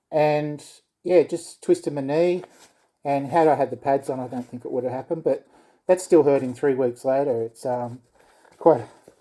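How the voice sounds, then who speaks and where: A man with an Australian accent, a fairly high pitch, a dark, mellow tone, and long, frequent pauses. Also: moderate pace. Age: 60s. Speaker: skateboarder reviewing gear. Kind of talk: casual product review. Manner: hesitant, many fillers.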